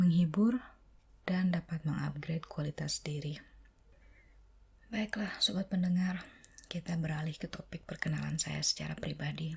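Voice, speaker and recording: The speaker is soft-spoken. Long pauses come frequently. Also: moderate pace. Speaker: ASMR content creator. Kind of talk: ASMR soft-spoken channel introduction to camera.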